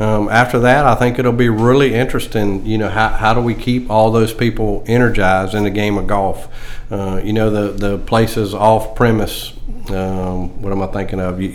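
With a Southern US accent, a man speaks monotone and flat at a moderate pace and fairly low pitch, with audible room echo and noticeable background noise. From South Carolina (Greenwood). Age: 60s. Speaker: golf professional. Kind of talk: casual interview.

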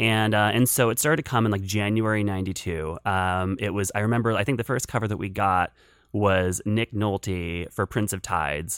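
In an unremarkable speaking voice, a man with an American accent talks at a moderate pace with fairly low pitch and ordinary pitch variation, on a very clean recording with a silent background. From western Pennsylvania, rural area south of Pittsburgh. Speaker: film critic. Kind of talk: casual interview.

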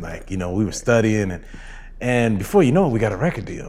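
An American accent with audible room echo. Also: man. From Southern California (Rancho Cucamonga). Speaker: dancer and choreographer. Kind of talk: casual interview. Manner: halting, many fillers.

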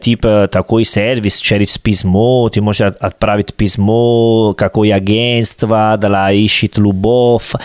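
Speaking very slowly with hardly any pauses, a man keeps a fairly low pitch, fairly even intonation and very even loudness in a dry, close sound with no echo. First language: Italian (speaking Russian). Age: 30s. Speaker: podcast co-host. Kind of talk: casual chat.

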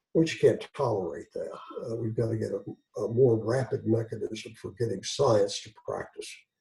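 A man at a moderate pace with an Eastern Kentucky accent. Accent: Eastern Kentucky Appalachian. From Eastern Kentucky, Floyd County. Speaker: physician and journal editor. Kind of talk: interview. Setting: video call.

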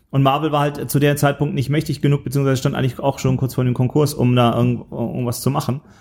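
Delivered at a very fast pace, a man's fairly high voice stays monotone with flat intonation. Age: middle-aged. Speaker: film podcast host. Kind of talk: casual chat.

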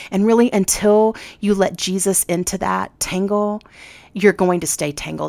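Here a woman has an ordinary speaking voice, with ordinary pitch variation at a moderate pace. The recording is very clean and the background silent. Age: 40s. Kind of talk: casual chat.

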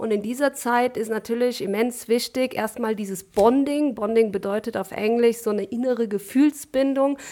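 A woman speaks at a moderate pace with hardly any pauses and fairly even intonation. Her pitch is fairly high and her tone dark and mellow. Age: 30s. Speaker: physiotherapist. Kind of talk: interview.

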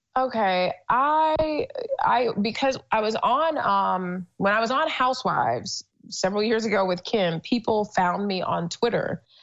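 The speaker has a normal speaking voice and a fairly slow pace. The intonation is lively. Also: woman. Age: 30s. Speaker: entrepreneur. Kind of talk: casual interview.

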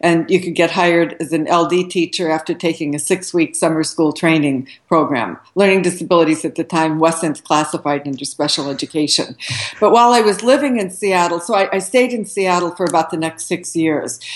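Speaking with a General American accent, a woman has a normal speaking voice, a fairly low pitch, ordinary pitch variation and a fairly quick pace. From US West, Southern Oregon. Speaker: retired education professor. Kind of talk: interview.

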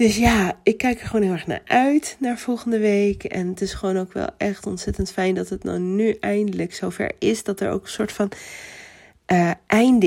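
A woman speaks in a cheerful tone at a medium pitch, her voice dark and mellow with ordinary pitch variation, on a very clean recording with a silent background. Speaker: podcast host. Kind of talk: personal update monologue.

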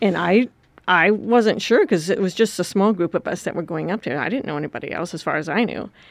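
An American woman of medium pitch talks at a very fast pace. Her intonation is lively. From US Midwest, rural Wisconsin. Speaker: missionary leader. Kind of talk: interview.

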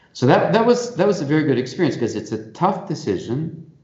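In a Canadian accent, a man speaks somewhat breathily amid audible room echo. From Canada, Toronto. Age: 60s. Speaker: Jesuit priest and institute rector. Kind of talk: interview.

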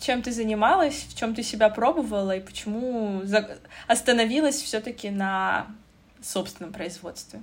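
Her loudness swinging widely, a woman speaks at a moderate pace with a fairly high pitch and ordinary pitch variation. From Russia, North Caucasus region. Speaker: podcast host. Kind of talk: interview. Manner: animated.

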